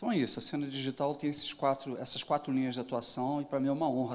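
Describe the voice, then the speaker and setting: A man is speaking. His pitch is medium. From southern Brazil (Rio Grande do Sul). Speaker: digital transformation consultant and interviewer. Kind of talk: panel moderation at event.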